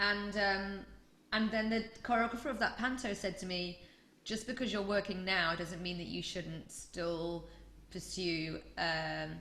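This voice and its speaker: A woman in a Yorkshire accent, medium in pitch and bright, sharp in tone, at a fairly slow pace with audible room echo. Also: ordinary pitch variation. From Yorkshire, northern England. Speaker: choreographer. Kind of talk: interview. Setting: podcast.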